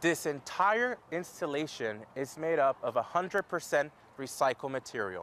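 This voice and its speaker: He has a normal speaking voice with a fairly high pitch. The man talks at a moderate pace with lively intonation. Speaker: news reporter. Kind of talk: TV news report.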